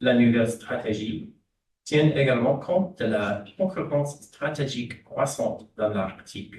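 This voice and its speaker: Somewhat breathy and with an English accent, the speaker talks fairly slowly with lively intonation, and room echo is audible. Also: man, medium pitch for a man. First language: English (speaking French). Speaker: diplomat. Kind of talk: prepared panel speech. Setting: conference panel. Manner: halting, with false starts.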